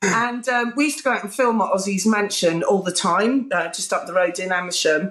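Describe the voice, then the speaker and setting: A woman talks at a fairly quick pace with lively intonation and hardly any pauses. Her loudness stays very even. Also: medium pitch for a woman. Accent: British. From southern England. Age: 40s. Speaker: music TV presenter. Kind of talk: casual interview chat. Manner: animated.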